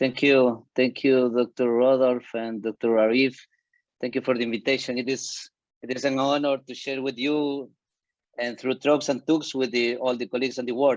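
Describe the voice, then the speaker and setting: Against a quiet background, a man with a Spanish accent speaks at a medium pitch and moderate pace in a monotone, flat way. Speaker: surgeon. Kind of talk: conference presentation.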